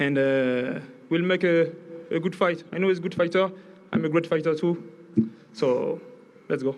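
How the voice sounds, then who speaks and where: Amid noticeable background noise, a man with a French accent speaks at a high pitch and a moderate pace, with ordinary pitch variation and long, frequent pauses. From France. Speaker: boxer. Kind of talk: press conference speech. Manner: halting.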